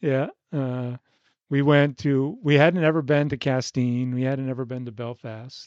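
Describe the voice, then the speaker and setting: A man speaks at a fairly slow pace with a normal speaking voice. The sound is dry and close, with no echo. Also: medium pitch for a man, fairly even intonation. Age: 60s. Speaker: retired sailor, podcast guest. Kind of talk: casual interview chat.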